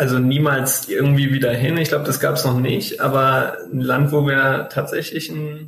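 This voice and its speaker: This is an ordinary speaking voice delivered at a moderate pace. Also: man. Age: 20s. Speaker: travel blogger. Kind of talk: interview.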